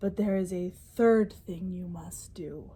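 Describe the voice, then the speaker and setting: A woman's put-on character voice at a medium pitch, with fairly even intonation and a fairly slow pace. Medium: read story. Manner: gentle, kindly.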